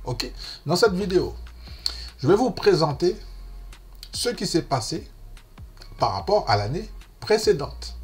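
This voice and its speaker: Over music in the background, a man with a Martinican accent talks at a very slow pace with long, frequent pauses. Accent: Martinican Antillean. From French Caribbean, Martinique. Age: 50s. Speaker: investing youtuber. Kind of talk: casual tutorial. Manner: chatty, informal.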